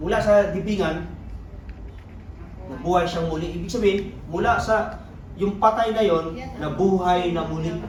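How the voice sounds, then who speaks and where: Loud and high-pitched, a man speaks with fairly even intonation and long, frequent pauses, amid noticeable background noise and audible room echo. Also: moderate pace. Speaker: Bible study leader. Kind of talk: Bible study teaching.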